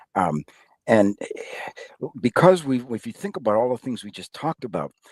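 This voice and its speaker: A man with an American accent speaks at a moderate pace with vocal fry, his medium pitch swinging very widely and his loudness rising and falling sharply. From Massachusetts (Somerville, Boston area). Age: 60s. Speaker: technology executive and career advisor. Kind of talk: podcast interview. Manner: halting, many fillers.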